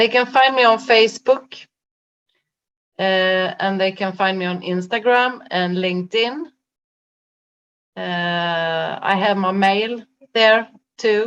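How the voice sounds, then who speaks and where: Speaking with a Swedish accent, a woman uses a medium pitch. Her pace is very slow, with long, frequent pauses. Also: ordinary pitch variation. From Sweden. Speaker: life coach. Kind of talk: interview conversation. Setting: video call. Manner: halting, many fillers.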